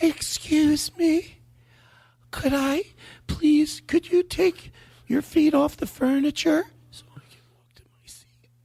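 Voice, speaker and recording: A put-on character voice, squeaky and female-sounding, pitched high. The pace is fairly slow, with long, frequent pauses. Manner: polite.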